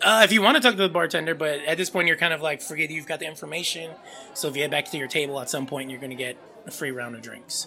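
Music plays in the background. The talking comes at a very fast pace. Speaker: podcast host and game master. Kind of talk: casual chat.

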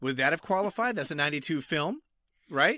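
In a very clean recording with a silent background, a man with a Massachusetts accent talks in a high voice with very wide pitch swings, the sound dry and close with no echo. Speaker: judge. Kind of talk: casual banter.

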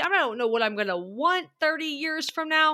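A woman speaks at a fairly quick pace in a raised, projected voice, her tone animated, bright and sharp, on a very clean recording with a silent background. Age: 30s. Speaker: growth coach. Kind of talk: casual chat.

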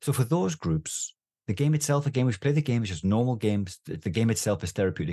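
A man at a medium pitch, somewhat breathy and dark, mellow in tone, with very wide pitch swings and a very fast pace, against a quiet background. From northeast England. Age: 50s. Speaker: doctor and therapeutic gaming charity chairman. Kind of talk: interview.

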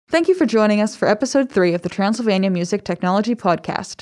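A woman with a normal speaking voice talks at a fairly quick pace. Her fairly high pitch moves with lively intonation. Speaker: podcast host and university staff. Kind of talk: casual interview chat.

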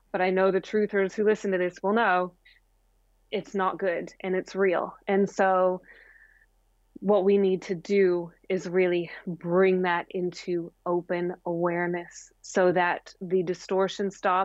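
In an American accent, a woman with a medium pitch speaks at a fairly slow pace. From US Midwest (Springfield, Missouri). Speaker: spiritual teacher and filmmaker. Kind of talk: casual interview about spirituality.

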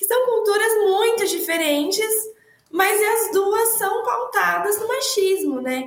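A woman speaks at an extremely high pitch. Her pace is very slow and her intonation lively. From Araraquara, São Paulo, Brazil. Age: young. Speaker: economist, women's rights researcher. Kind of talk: panel discussion on live podcast.

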